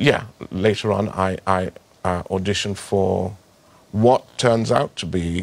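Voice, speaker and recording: Very deep and low, the man's voice shows ordinary pitch variation. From Trinidad. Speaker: actor. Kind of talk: interview answer.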